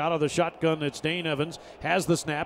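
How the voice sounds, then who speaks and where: A man with an ordinary speaking voice talks at a moderate pace in a fairly high voice. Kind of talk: live play-by-play football commentary over game highlights. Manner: even, steady and matter-of-fact, rising briefly at touchdowns.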